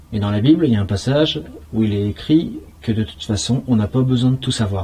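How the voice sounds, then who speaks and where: Talking at a fairly quick pace, a man uses a normal speaking voice at medium pitch with lively intonation. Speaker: paranormal investigator. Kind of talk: casual on-location discussion. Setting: inside a bunker.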